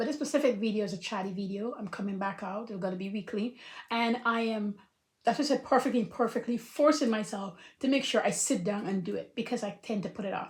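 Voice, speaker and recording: A woman with a fairly high pitch speaks very fast in an animated, somewhat breathy tone, her pitch varying an ordinary amount. The recording is very clean, with a silent background. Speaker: life coach. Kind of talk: casual talk to camera.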